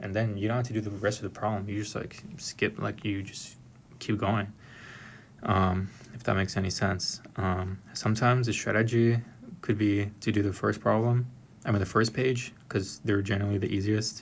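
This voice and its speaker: In a somewhat breathy voice with an American accent, a man speaks at a fairly low pitch and a moderate pace, his intonation monotone and flat. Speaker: software engineer explaining exam questions. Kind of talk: tutorial. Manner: hesitant, many fillers.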